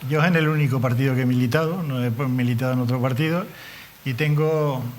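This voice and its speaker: A man with a medium-pitched voice talks at a fairly quick pace, and some room echo can be heard. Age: 70s. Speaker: politician. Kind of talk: TV interview. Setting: TV studio.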